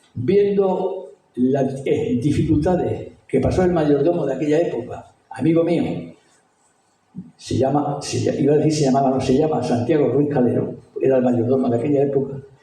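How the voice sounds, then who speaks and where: A man's fairly high voice at a moderate pace, with ordinary pitch variation, very even loudness and audible room echo. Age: 70s. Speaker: retired school headmaster. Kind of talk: talk. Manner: animated.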